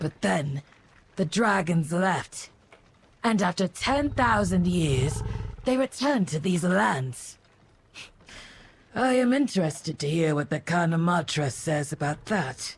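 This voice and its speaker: A put-on character voice at a middle pitch, fairly slow in pace, with long, frequent pauses. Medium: machinima.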